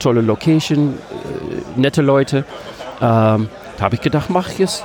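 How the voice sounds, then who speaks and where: Background noise is clearly audible. Against it, a man talks at a moderate speed. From Netherlands, Amsterdam. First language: Dutch (speaking German). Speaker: games vendor. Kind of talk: casual interview. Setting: convention stand.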